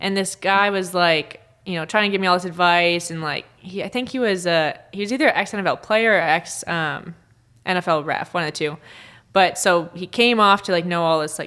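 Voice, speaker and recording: A woman speaks in a Minnesotan accent at a fairly quick pace. Her tone is bright and sharp, and the recording is very clean with a silent background. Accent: Minnesota. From northern Minnesota. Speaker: sports referee. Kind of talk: casual interview chat.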